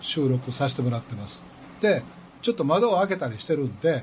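A man's fairly high, somewhat breathy voice in a Kansai accent, with very wide pitch swings at a fairly quick pace. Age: 60s. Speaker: radio host. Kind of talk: casual chat. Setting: studio.

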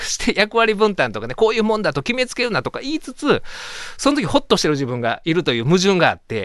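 Speaking in a Kansai accent, a man moves at a fairly quick pace with very wide pitch swings. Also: quiet background. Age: 40s. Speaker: radio host and lawyer. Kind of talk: casual radio talk.

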